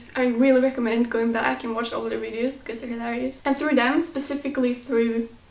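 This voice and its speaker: Amid noticeable background noise, a woman with a non-native accent speaks at a fairly quick pace in a high pitch with monotone, flat intonation. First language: not English. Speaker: YouTube vlogger. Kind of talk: casual vlog.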